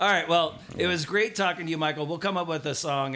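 The speaker is a man with an American accent. Behind him, background noise is noticeable. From Southern California. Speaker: podcast host. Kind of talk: scripted narration; casual interview.

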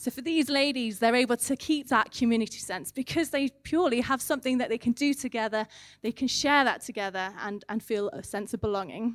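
A woman's high-pitched voice with an English accent, fairly quick and with hardly any pauses, ordinary pitch variation, and a dry, close sound with no echo. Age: 30s. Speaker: charity manager giving a church sermon. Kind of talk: sermon.

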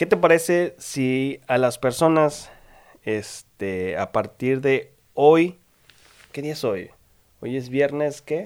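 A man's fairly high voice, very slow and lively in intonation, in a very clean recording with a silent background. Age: 20s. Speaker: podcast host, architect. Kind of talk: casual chat.

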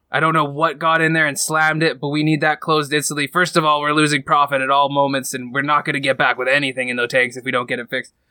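At a very fast pace with hardly any pauses, a man talks in a monotone, flat way at a fairly high pitch with a bright, sharp tone. The recording is very clean, with a silent background and a dry, close sound with no echo. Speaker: game master of tabletop roleplaying podcast. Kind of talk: actual play roleplaying narration. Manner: puts on raspy character voice at times.

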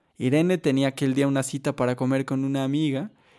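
The voice is plain reading aloud. Nothing else stands out.

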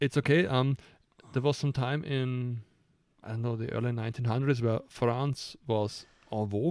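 With a German accent, a man speaks at a medium pitch and a moderate pace, his intonation fairly even. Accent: noticeable German-accented English. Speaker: podcast co-host, designer. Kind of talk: casual chat. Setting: home attic with microphones. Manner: halting, searches for words.

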